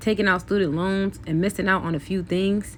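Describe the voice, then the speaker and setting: A woman with a plain, everyday voice talks at a fairly low pitch, keeping her intonation fairly even. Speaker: beauty vlogger. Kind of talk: casual chat.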